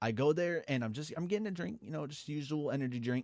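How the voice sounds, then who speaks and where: Recorded dry and close with no echo against a silent background on a very clean recording, a man speaks with ordinary pitch variation. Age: 20s. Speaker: storytime youtuber. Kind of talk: storytelling. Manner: casual, halting.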